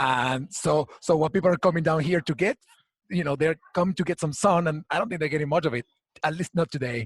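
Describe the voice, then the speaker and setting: A man with a Venezuelan accent talks at a very fast pace in a fairly high voice, with ordinary pitch variation. The sound is dry and close, with no echo. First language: Spanish. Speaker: HR community founder. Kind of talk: interview. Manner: halting.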